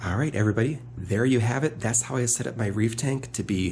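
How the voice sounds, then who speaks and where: A man's normal speaking voice at a moderate pace, with ordinary pitch variation. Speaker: hobby channel host, reef aquarium keeper. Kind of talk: tutorial. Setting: at home beside aquarium.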